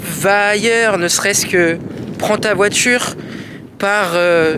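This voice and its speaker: The speech has fairly even intonation, heard over noticeable background noise. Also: man. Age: 20s. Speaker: vlogger. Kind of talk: personal vlog monologue. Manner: hesitant, with fillers and repetitions.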